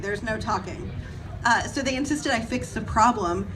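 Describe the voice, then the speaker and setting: Amid noticeable background noise and audible room echo, a woman talks at a fairly quick pace with very wide pitch swings. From Canada. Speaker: horror film actress. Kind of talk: panel discussion. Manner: fast; animated.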